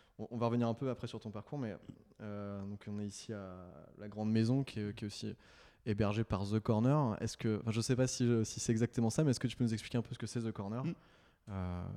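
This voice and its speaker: A man's fairly low, dark and mellow voice at a fairly quick pace. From France (Nantes). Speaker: podcast host. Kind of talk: interview. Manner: halting.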